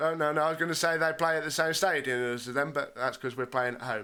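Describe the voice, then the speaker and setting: A bright, sharp tone with ordinary pitch variation comes through on a very clean recording with a silent background. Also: man. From English Midlands. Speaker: gaming youtuber. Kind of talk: gameplay commentary; casual outro to viewers. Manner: casual, hesitant with fillers.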